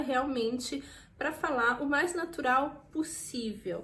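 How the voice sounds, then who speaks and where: A woman's high-pitched voice with a Brazilian accent, lively intonation and audible room echo. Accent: Brazilian accent when speaking French. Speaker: vlogger. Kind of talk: casual tutorial. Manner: informal, chatty with frequent fillers.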